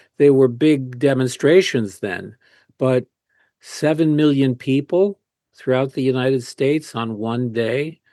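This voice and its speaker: Speaking with an American accent, a man has a medium-pitched voice with a dark, mellow tone. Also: ordinary pitch variation, fairly slow pace, dry, close sound with no echo. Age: 70s. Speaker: activist and author. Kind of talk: interview. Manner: halting, many fillers.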